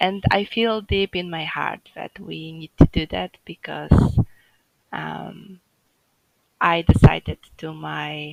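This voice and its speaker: Speaking at a very slow pace, a woman's voice shows big swings in loudness. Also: dry, close sound with no echo. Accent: Polish. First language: Polish. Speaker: home birth mother sharing her story. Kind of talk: interview. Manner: halting, many fillers.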